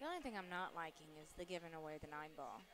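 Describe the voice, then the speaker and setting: A woman speaks quietly and very fast in a very deep, low-pitched voice. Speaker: pool commentator. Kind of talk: live commentary. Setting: live stream at pool tournament venue. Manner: quiet to avoid distracting players.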